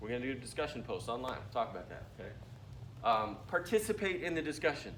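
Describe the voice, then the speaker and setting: A man talks very fast with lively intonation and vocal fry, at a fairly high pitch. Room echo is audible. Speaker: university lecturer. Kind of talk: lecture. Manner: mumbling.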